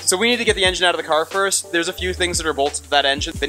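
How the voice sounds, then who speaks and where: A man is speaking. Clear music can be heard in the background. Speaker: car builder vlogger. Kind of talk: casual vlog chat. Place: workshop. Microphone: phone near.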